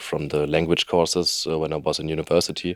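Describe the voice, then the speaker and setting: A man with a very deep, low pitch in a German accent, monotone with flat intonation. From Germany. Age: 20s. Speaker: trainee youth worker. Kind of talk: interview. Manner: halting, many fillers.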